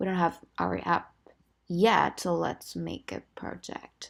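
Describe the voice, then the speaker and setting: A woman whispers at a very slow pace. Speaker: programming tutorial youtuber. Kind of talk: screen-recorded coding tutorial. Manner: casual, thinking aloud.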